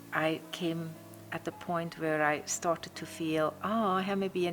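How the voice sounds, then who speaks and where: With music in the background, a speaker in a Swiss accent talks at a moderate pace with monotone, flat intonation. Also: woman. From Switzerland. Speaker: eco retreat owner. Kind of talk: interview.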